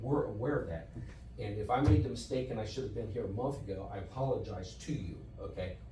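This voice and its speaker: Over noticeable background noise and audible room echo, a man talks at a very fast pace. His fairly low voice carries lively intonation. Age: 60s. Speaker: property owner at public meeting. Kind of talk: heated debate. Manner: defensive, interrupting.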